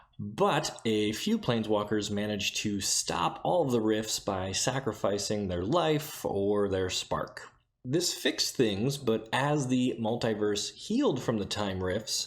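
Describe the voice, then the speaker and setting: A soft-spoken man talks at a fairly slow pace with hardly any pauses. His pitch is medium, with ordinary variation. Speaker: YouTube lore channel host. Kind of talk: casual lore explainer. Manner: soft-spoken, keeping voice down.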